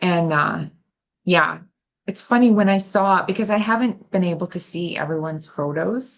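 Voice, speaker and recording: This woman has an unremarkable speaking voice, with medium pitch, ordinary pitch variation and a moderate pace. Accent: American. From United States. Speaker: festival host, crafter. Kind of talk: casual interview.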